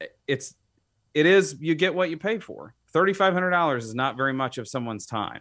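An ordinary speaking voice from a man with an American accent, fairly high in pitch, at a fairly quick pace with lively intonation and big swings in loudness. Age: 30s. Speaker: home builder. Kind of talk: casual chat. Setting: studio.

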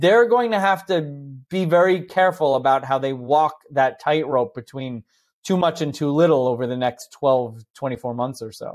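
A man with an American accent talks at a moderate pace in a fairly high voice with lively intonation, an unremarkable speaking voice. The recording is very clean, with a silent background. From New Jersey. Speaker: economist. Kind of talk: interview.

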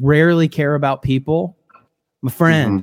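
This man has an ordinary speaking voice with an American accent, a fairly high pitch, ordinary pitch variation and a moderate pace. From US Midwest, Illinois. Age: 30s. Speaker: worship leader. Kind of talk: casual chat. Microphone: borrowed studio mic recording from home.

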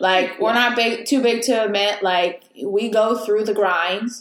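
Speaking at a fairly slow pace, a woman with a normal speaking voice keeps to a medium pitch with ordinary pitch variation. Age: 20s. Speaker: podcast host. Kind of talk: casual interview chat.

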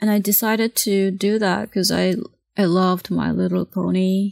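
A woman talks fairly slowly in a Japanese accent. The sound is dry and close, with no echo. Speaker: comic artist and painter. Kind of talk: casual interview conversation.

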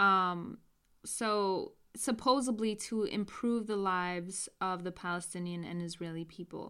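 Speaking at a fairly slow pace with an American accent, a woman has a bright, sharp tone, medium pitch and ordinary pitch variation on a very clean recording with a silent background. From US, New York. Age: 20s. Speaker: podcast host. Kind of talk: casual interview chat.

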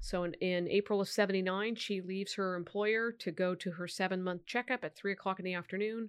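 Someone with an American accent talks at a very fast pace with fairly even intonation on a very clean recording with a silent background. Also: woman. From Sacramento, California. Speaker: district attorney. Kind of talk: interview.

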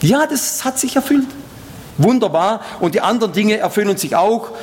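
Over noticeable background noise, a man speaks at a high pitch. His tone is animated. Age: old. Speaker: preacher and missionary. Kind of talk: sermon. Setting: church service with congregation.

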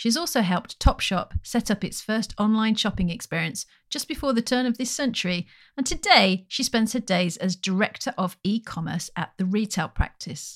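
In a very clean recording with a silent background and a dry, close sound with no echo, a woman speaks at a moderate pace in a fairly high, somewhat breathy voice with lively intonation. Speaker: podcast co-host, futurist and author. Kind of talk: interview conversation.

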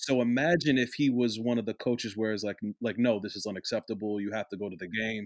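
In a New Jersey accent, a man speaks at a very fast pace with hardly any pauses, medium pitch and ordinary pitch variation, the sound dry and close with no echo on a very clean recording with a silent background. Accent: American, New Jersey. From US, South Jersey. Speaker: former college soccer player, manager. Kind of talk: casual chat.

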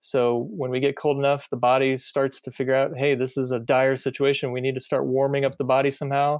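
With hardly any pauses, a man at a medium pitch speaks at a fairly quick pace in a monotone, flat intonation on a very clean recording with a silent background. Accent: American. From US Midwest, Iowa. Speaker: physical therapist and triathlon coach. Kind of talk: casual chat.

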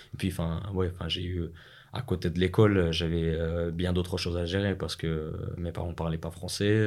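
A man speaks with a Russian accent in a very deep, low pitch. His pace is moderate and his intonation monotone and flat. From Russia (Moscow, Chechen family). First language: Russian (speaking French). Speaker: business school student. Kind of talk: interview.

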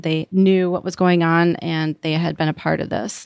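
In a very clean recording with a silent background and a dry, close sound with no echo, a woman speaks at a fairly low pitch with fairly even intonation. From US Upper Midwest, Wisconsin. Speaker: caregiver. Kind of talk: interview.

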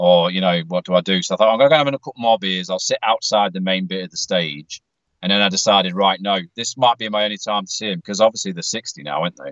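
A man with a British accent talks very fast in a fairly low pitch. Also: ordinary pitch variation. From UK. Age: 40s. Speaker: metal fan, podcast patron. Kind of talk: casual chat. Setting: in a car.

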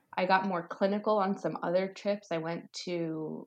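A woman in an American accent talks fairly slowly in a fairly low voice. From US, Virginia. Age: 30s. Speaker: nurse. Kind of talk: casual chat.

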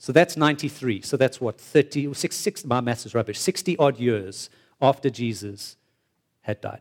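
A man at medium pitch and moderate pace, with lively intonation and a dry, close sound with no echo. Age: 40s. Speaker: preacher. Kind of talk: sermon. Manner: animated.

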